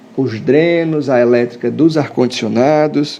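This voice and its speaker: Audible room echo follows a man speaking at a fairly slow pace with ordinary pitch variation. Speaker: architect. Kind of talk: live stream lecture. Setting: live stream. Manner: casual, many fillers.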